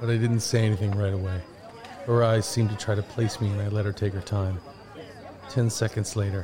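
A man's fairly low, monotone, flat voice at a fairly quick pace, with long, frequent pauses and crowd noise in the background. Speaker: audio drama narrator actor. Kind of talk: scripted first-person audio drama narration.

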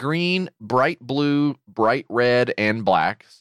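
A man speaks at a medium pitch with a slight Southern US accent. His intonation is lively, and the sound is dry and close with no echo. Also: very clean recording, silent background. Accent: slight Southern twang. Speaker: podcast co-host. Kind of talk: casual chat.

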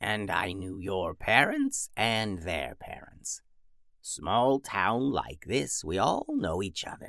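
In a put-on character voice, a man speaks very slowly with a creaky, medium-pitched sound. The recording is very clean, with a silent background.

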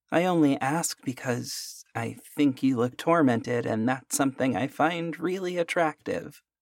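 A man with a plain, everyday voice and a fairly high pitch speaks at a fairly slow pace with ordinary pitch variation. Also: hardly any pauses, very clean recording, silent background. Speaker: story narrator. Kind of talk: first-person horror story narration, read like a hushed bedtime ghost story. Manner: measured, intimate storytelling pace; voices characters in quoted dialogue.

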